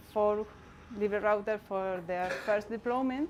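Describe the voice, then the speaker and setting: A woman speaks with a Spanish accent. Her fairly high pitch follows fairly even intonation. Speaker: community network activist. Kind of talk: conference talk. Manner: halting, many fillers.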